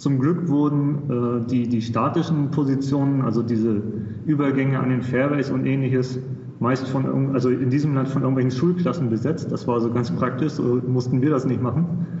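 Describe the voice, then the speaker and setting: A man's voice at medium pitch and moderate pace, with very even loudness and fairly even intonation, plus audible room echo and noticeable background noise. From Germany, Hamburg. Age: 30s. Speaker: golf tournament volunteer. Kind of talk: casual chat.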